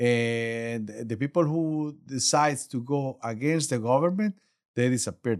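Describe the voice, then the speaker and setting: A man with a Spanish accent speaks at a moderate pace. The recording is very clean, with a silent background. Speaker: embassy official. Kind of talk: casual interview. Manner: halting.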